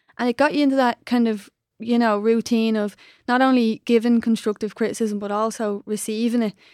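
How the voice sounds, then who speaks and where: Fairly quick speech in an Irish accent with monotone, flat intonation, on a very clean recording with a silent background and a dry, close sound with no echo. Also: woman, fairly high pitch for a woman. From Ireland. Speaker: podcast co-host and former soccer player. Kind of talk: podcast interview.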